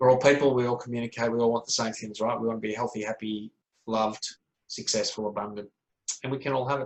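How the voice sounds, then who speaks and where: This man has an Australian accent and a medium-pitched voice. He talks very fast in a flat monotone. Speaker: speaker and author, wellness mentor. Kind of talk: interview. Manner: motivational, emphatic.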